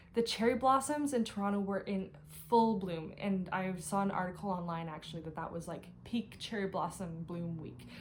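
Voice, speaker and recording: A woman's somewhat breathy voice with lively intonation at a fairly quick pace. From Canada, Ottawa. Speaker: cross-stitch vlogger. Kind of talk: casual vlog haul. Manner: fast; animated.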